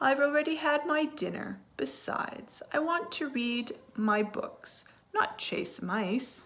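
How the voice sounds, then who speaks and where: In a high-pitched, put-on character voice, a woman speaks at a fairly slow pace. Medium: read story. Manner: grand, self-important.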